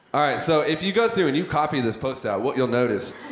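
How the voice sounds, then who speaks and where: A man's voice with lively intonation, audible room echo and noticeable background noise. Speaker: business coach teaching copywriting. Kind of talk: workshop lecture. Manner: halting, self-described stuttering.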